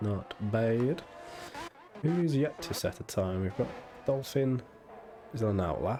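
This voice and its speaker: With music in the background, a man talks in a lively, varied intonation. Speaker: sim racing commentator. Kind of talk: live commentary. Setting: live stream. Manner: animated.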